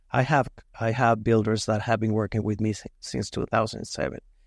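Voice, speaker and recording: A man with a Mexican accent speaks at a moderate pace in a fairly low pitch. His intonation is fairly even, and the recording is very clean with a silent background. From Mexico. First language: Spanish. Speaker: metal fabrication business owner. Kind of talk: podcast interview.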